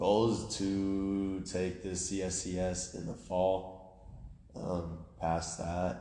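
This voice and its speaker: Very slow and monotone, a man speaks at a very deep, low pitch in a dark, mellow tone with flat intonation and audible room echo. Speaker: strength coach trainee. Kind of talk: casual chat.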